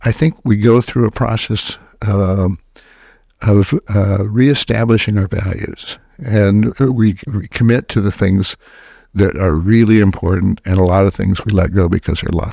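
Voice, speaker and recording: Fairly slow and fairly low-pitched, a man speaks in a dark, mellow tone, recorded very cleanly with a silent background and a dry, close sound with no echo. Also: ordinary pitch variation. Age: 80s+. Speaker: psychiatrist and author. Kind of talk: interview. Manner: halting, many filler words.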